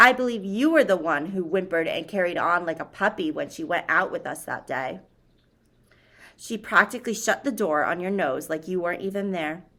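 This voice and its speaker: Putting on a gruff, rumbling character voice at medium pitch, a woman speaks at a fairly quick pace on a very clean recording with a silent background. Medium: read story. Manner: gruff, grumbling.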